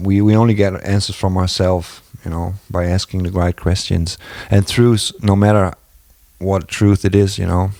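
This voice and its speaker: A man with a non-native accent talks at a moderate pace in a very deep, low voice with a dark, mellow tone. His intonation stays monotone and flat. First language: not English. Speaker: video blogger. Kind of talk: casual monologue. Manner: halting.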